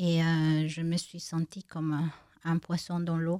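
In a Spanish accent, a woman speaks very slowly with a dark, mellow tone and a fairly low pitch. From Bolivia, La Paz. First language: Spanish (speaking French). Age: 50s. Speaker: blind woman giving testimony. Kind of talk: interview testimony. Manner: halting, many hesitations.

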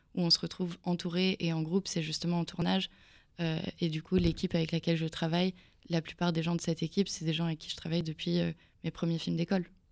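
A woman speaks in a fairly low voice with monotone, flat intonation. The recording is very clean, with a silent background. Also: long, frequent pauses. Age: 20s. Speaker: film director. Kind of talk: radio interview.

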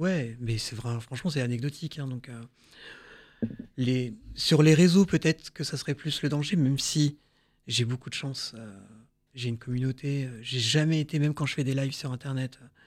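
A man's medium-pitched voice at a moderate pace, with ordinary pitch variation, in a very clean recording with a silent background. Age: 30s. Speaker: burn survivor and prevention speaker. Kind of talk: testimony. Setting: studio. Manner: hesitant.

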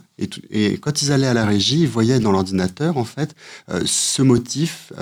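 In a very clean recording with a silent background, a man at a medium pitch speaks at a moderate pace with lively intonation. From France. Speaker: photographer and visual artist. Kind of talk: radio interview. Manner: hesitant, many fillers and repetitions.

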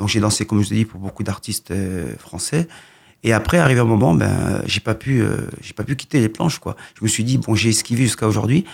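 Vocal fry runs through this fairly quick delivery with ordinary pitch variation, on a very clean recording with a silent background. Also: man, medium pitch for a man. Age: 40s. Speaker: boxing coach. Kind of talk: radio interview.

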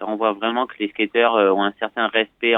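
Here a man speaks with a fairly low pitch. His pace is fairly slow. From southwestern France, Bordeaux. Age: 20s. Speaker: professional skateboarder. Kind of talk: interview. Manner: gentle; hesitant, many fillers.

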